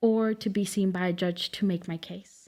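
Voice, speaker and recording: A woman is speaking. She has a Spanish accent. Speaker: immigration legal clinic director. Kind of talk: podcast interview.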